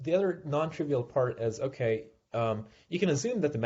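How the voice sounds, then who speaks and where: The voice is somewhat breathy. Its pace is fairly quick. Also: man. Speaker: invited research speaker. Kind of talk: technical seminar lecture. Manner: hesitant, many fillers.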